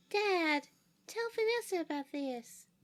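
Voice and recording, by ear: A man speaks fairly slowly in a squeaky, put-on character voice pitched extremely high.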